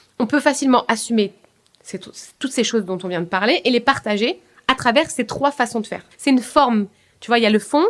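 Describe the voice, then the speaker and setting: A woman speaks in a high pitch with ordinary pitch variation and big swings in loudness. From France, Paris suburbs (Seine-Saint-Denis). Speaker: business coach. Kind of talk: podcast interview. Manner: fast.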